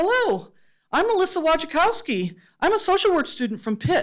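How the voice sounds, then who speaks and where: A woman's squeaky, put-on character voice at an extremely high pitch, with very wide pitch swings, very even loudness and a moderate pace. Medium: read story. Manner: earnest, eager.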